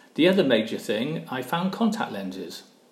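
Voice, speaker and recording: With a Welsh accent, a man talks at a moderate pace with very wide pitch swings, and audible room echo surrounds him. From South Wales (Barry). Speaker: retired engineer and professor. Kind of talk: interview.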